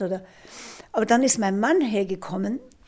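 A woman speaks at a moderate pace with a somewhat breathy voice, a dark, mellow tone and ordinary pitch variation. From Austria. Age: 70s. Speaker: retired ultra-runner and triathlete. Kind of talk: interview testimony.

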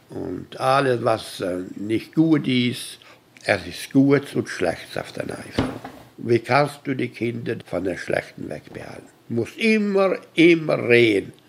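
Delivered very slowly with very wide pitch swings, the speech comes over noticeable background noise. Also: man, medium pitch for a man. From Canada, Hutterite colony. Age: 80s+. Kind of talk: interview.

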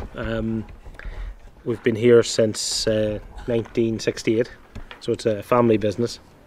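The speech is very slow and flat, broken by long, frequent pauses. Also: man, medium pitch for a man. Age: 40s. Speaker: pub owner. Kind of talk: interview.

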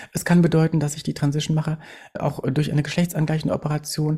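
A woman speaks with a dark, mellow, somewhat breathy tone. Her pitch is very deep and low, and her intonation fairly even. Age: 40s. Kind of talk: interview.

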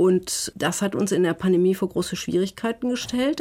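A woman speaks at a moderate pace in an unremarkable speaking voice. Her pitch sits in the medium range, with ordinary variation. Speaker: scientist. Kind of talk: interview.

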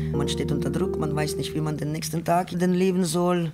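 Speaking with an Eastern European accent, a woman uses a fairly low pitch and vocal fry. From Ukraine. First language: Ukrainian or Russian (speaking German). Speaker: sex worker. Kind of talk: personal testimony.

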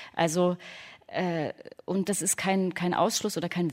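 A woman uses an ordinary speaking voice, with a medium pitch and a moderate pace. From Leipzig, Saxony. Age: 30s. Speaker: radio author. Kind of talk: panel discussion.

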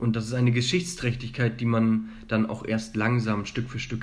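In a room with audible echo, a man talks fairly slowly at a medium pitch, his voice somewhat breathy and his pitch variation ordinary. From Germany. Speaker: student. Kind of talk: interview. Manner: hesitant, many filler sounds.

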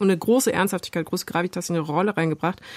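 On a very clean recording with a silent background, a woman's medium-pitched voice has ordinary pitch variation and a dry, close sound with no echo. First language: bilingual German and French (speaking German). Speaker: podcast host. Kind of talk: interview. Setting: studio.

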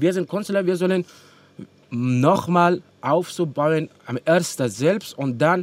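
A man's intonation stays lively even as he talks very slowly. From Afghanistan. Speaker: musician. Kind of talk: interview. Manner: halting.

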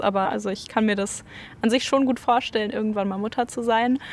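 Talking at a very fast pace, a woman has a fairly high pitch and ordinary pitch variation. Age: 20s. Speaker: student. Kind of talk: street interview.

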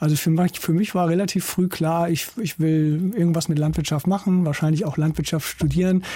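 Fairly quick and with hardly any pauses, a man speaks high for his voice in a dark, mellow tone, with fairly even intonation and very even loudness. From northern Germany, East Frisia (Norden). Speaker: agricultural scientist, professor. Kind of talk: interview. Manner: hesitant with frequent fillers.

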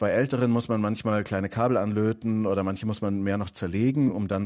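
Fairly quick and fairly low, a man's dark, mellow voice comes through on a very clean recording with a silent background. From southern Germany. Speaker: tech columnist. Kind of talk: casual tech chat. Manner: enthusiastic.

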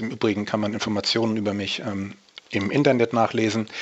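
Against noticeable background noise, a man speaks at a medium pitch with fairly even intonation. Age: 50s. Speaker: natural bodybuilder and fitness coach. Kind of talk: interview.

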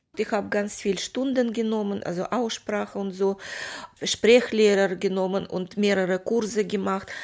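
The voice has a Russian accent and monotone, flat intonation. It moves at a moderate pace. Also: woman, medium pitch for a woman. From Moldova. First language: Russian (speaking German). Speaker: actress. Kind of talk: interview.

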